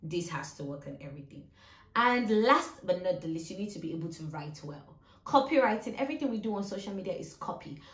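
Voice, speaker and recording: A woman with a medium pitch talks at a very fast pace amid noticeable background noise and audible room echo. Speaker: social media manager and YouTuber. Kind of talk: tutorial.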